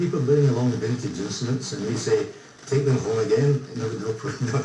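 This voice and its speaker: A man with a Scottish accent and a medium pitch talks at a very fast pace, with audible room echo and noticeable background noise. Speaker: ukulele group member. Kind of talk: radio interview.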